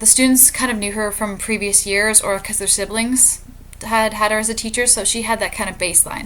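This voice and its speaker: Her pitch fairly high, the woman speaks at a fairly quick pace with monotone, flat intonation. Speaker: student teacher. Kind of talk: reflective monologue. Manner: fast.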